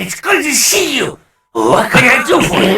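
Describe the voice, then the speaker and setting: In a put-on character voice, the speaker talks at a moderate pace with a high pitch and very wide pitch swings. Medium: actual play. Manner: unsettlingly chipper.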